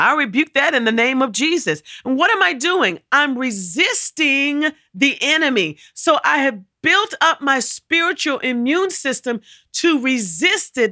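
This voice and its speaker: On a very clean recording with a silent background and a dry, close sound with no echo, a woman speaks fairly slowly in a raised, projected, high-pitched voice with a bright, sharp tone and very wide pitch swings. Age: 50s. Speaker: co-pastor and podcast host. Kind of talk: sermon-style teaching.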